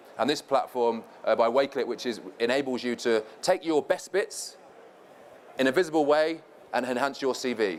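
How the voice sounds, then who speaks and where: With long, frequent pauses, a man of medium pitch speaks using ordinary pitch variation. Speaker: former professional footballer, panel speaker. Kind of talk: conference presentation. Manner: fast.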